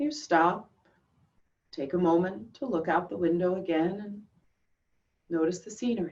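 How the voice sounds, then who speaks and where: Lively intonation from a woman with fairly low pitch, broken by long, frequent pauses. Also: big swings in loudness. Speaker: yoga teacher, meditation guide. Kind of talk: guided visualization meditation. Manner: slow, calm, soothing.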